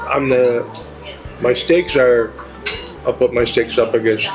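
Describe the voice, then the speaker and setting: Music plays in the background as a man speaks at a medium pitch and a fairly slow pace. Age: 80s+. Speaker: restaurant owner. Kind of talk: interview.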